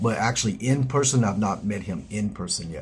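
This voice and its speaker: At a fairly quick pace, a man with a Southern US accent speaks at a fairly low pitch in a somewhat breathy voice. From US South, South Georgia. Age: 50s. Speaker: live streamer. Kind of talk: casual chat. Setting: live stream.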